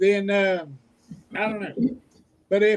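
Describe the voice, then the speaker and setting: The speaker is a man with an Oklahoma accent. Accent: Oklahoma Southern US. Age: 50s. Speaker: homesteader and YouTuber. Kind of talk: casual chat. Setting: livestream video call. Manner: halting.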